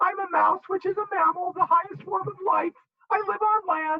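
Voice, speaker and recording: Put-on character voice, pitched extremely high. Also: moderate pace. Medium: read story.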